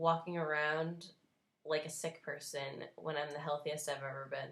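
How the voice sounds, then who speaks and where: A woman with a New Jersey accent at a fairly slow pace. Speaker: vlogger, cancer survivor. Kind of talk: unscripted opinion vlog rant. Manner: animated, emphatic.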